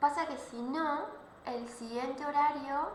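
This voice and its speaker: A high-pitched woman's voice with noticeable background noise and audible room echo. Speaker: law professor. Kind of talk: online class.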